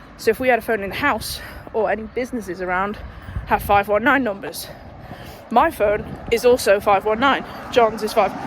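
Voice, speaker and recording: A woman talks quietly at a fairly quick pace, her fairly high voice moving with ordinary pitch variation, broken by long, frequent pauses over noticeable background noise. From northwest England, Runcorn. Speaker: vlogger. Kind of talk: casual vlog. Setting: outdoors walking.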